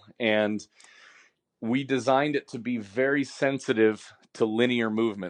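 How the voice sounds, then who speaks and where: An ordinary speaking voice with ordinary pitch variation, delivered in an American accent, carries the clip. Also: man. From Washington state. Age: 30s. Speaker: baseball training tool founder and coach. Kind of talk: casual chat.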